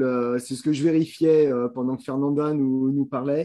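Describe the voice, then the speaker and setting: A man speaks in a dark, mellow tone at medium pitch. His intonation is monotone and flat. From France. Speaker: business broker. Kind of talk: expert advice in live Q&A.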